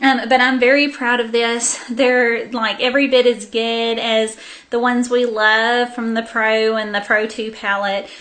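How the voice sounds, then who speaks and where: A woman in a Southern US accent speaks at a fairly slow pace with flat, monotone intonation and hardly any pauses. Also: fairly high pitch for a woman. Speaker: beauty vlogger. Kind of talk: casual haul video monologue. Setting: sitting on the floor at home.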